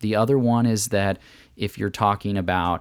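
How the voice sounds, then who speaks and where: Fairly low in pitch, a man with an unremarkable speaking voice talks at a moderate pace. The recording is very clean, with a silent background. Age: 20s. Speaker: CEO of a CBD company. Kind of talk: casual interview chat.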